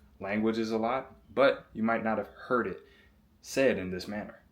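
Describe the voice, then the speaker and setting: Very clean recording, silent background, with a man speaking at a fairly quick pace. He has a normal speaking voice, pitched fairly low. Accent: American. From US Southeast. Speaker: basketball player and self-improvement vlogger. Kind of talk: motivational vlog monologue. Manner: casual.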